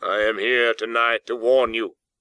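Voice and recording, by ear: In a natural voice, someone reads aloud over a quiet background.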